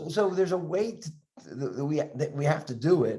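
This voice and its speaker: Dark and mellow in tone, a man's somewhat breathy voice moves at a fairly quick pace. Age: 70s. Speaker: dentist and educator. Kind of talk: interview. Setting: podcast video interview. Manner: halting, repetitive.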